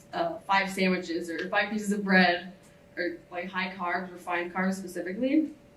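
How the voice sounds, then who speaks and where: A woman speaks at a moderate pace and medium pitch with fairly even intonation, amid noticeable background noise and audible room echo. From Ohio, US. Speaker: student speaker. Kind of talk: symposium talk.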